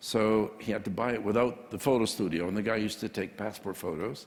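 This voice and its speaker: A plain, everyday voice from a man, fairly low in pitch, at a moderate pace with ordinary pitch variation. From Canada. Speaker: printing entrepreneur. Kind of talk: interview.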